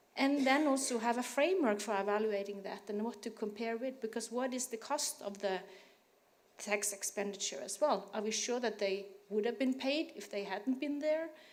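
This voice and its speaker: In a room with audible echo, a woman talks at a moderate pace. Her voice is fairly high, with ordinary pitch variation. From Norway. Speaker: tax researcher, academic. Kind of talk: panel discussion. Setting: conference panel with audience.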